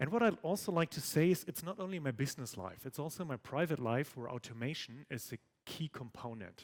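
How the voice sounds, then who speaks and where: A man's fairly high voice at a moderate pace, dry and close with no echo, on a very clean recording with a silent background. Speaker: tech conference speaker. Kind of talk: conference talk. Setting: stage with audience.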